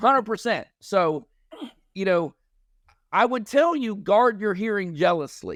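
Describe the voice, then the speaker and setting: A loud man with high pitch and very wide pitch swings, at a fairly slow pace with a dry, close sound and no echo. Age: 50s. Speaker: army veteran, sound therapy company founder. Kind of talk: podcast interview.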